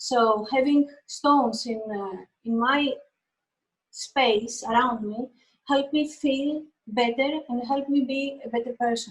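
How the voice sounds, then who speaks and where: A woman's high-pitched voice with a Greek accent, very slow pace and fairly even intonation. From Greece. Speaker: painter. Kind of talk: interview. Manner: halting.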